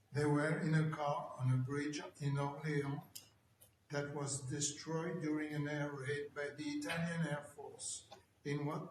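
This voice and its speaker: In a room with audible echo, a man talks at a fairly slow pace in a fairly high pitch, his intonation flat and monotone. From France, Paris suburbs. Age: 80s+. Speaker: Holocaust survivor. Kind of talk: testimony.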